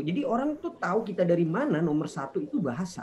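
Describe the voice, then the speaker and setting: His pitch is high and ranges very widely up and down. The man talks at a fairly quick clip. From Indonesia. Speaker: talk show guest. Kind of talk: online casual chat.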